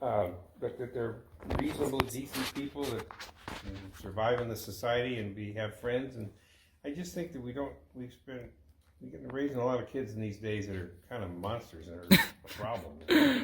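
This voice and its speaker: A man with an American accent speaks at a medium pitch and a moderate pace. His voice is somewhat breathy, with ordinary pitch variation and big swings in loudness. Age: 80s+. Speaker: grandfather. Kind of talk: interview answer. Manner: reflective, hesitant.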